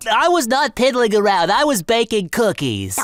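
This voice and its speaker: A put-on character voice at a fairly high pitch moves along at a moderate pace. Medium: comedy sketch. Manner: rambling, chuckling.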